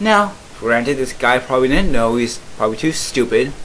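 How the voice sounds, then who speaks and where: This man keeps a moderate pace, his pitch swinging very widely, with noticeable noise in the background. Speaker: YouTuber reacting to comments. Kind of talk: commentary reading comments. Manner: halting.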